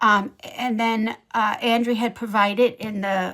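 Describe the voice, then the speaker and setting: With a slight Ohio accent, a woman speaks in a medium pitch. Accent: slight Ohio twang. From Ohio, USA.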